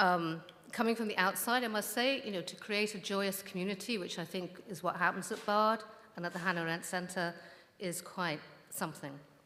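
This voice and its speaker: Audible room echo surrounds a woman who talks fairly quickly in a bright, sharp tone. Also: medium pitch for a woman, ordinary pitch variation. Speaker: biographer and scholar. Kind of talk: conference lecture. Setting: stage with audience.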